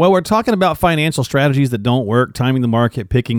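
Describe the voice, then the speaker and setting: The background is silent on this very clean recording. A man does the talking. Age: 40s. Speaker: podcast host. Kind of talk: casual interview chat.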